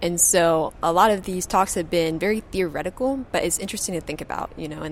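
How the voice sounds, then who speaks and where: Against noticeable background noise, a woman with an American accent talks at a fairly quick pace in a fairly low pitch. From Kentucky, US. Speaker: graduate student. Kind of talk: interview. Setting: conference.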